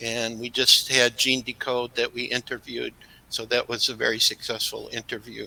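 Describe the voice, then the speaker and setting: Dry, close sound with no echo around a man speaking at a moderate pace. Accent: American. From US Midwest, Chicago. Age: 60s. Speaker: crystal skull researcher. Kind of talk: interview.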